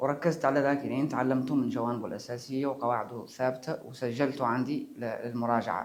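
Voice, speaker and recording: Speaking at a moderate pace and medium pitch, a man uses hardly any pauses. His intonation is monotone and flat. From Mauritania. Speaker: musician. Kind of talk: interview. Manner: halting.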